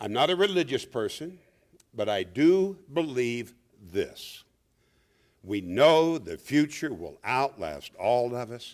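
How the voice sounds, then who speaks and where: Speaking at a medium pitch and a very slow pace, a man makes very wide pitch swings and big swings in loudness, leaving long, frequent pauses. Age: 60s. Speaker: veteran journalist, keynote speaker. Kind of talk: awards speech. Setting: awards event with audience.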